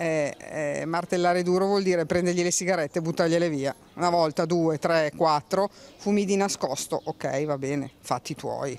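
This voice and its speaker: A woman with a normal speaking voice, fairly low pitch, fairly even intonation and a moderate pace. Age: 60s. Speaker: passer-by interviewee. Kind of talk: street interview.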